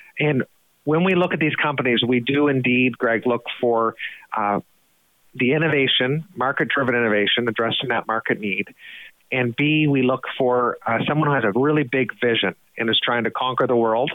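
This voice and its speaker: In an Atlantic Canadian accent, a man speaks at medium pitch and a moderate pace, with ordinary pitch variation and very even loudness. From New Brunswick, Canada (Fredericton). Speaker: head of an investment foundation. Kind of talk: podcast interview.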